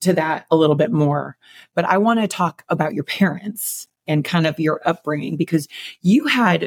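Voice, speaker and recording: A woman with an American accent and an unremarkable speaking voice talks at a moderate pace and fairly low pitch with lively intonation, recorded with a dry, close sound and no echo. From Chicago. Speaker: fitness coach and podcast co-host. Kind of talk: casual interview.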